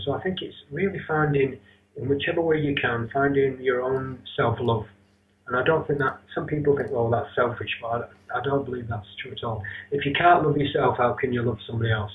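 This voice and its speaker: Noticeable background noise sits behind this man with a Northern English accent. His medium pitch shows ordinary variation. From Rochdale, north of England. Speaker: yoga teacher and internet radio host. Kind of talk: interview answer.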